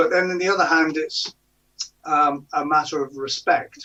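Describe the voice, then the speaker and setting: A man's bright, sharp voice at a fairly slow pace. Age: 60s. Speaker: author. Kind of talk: interview.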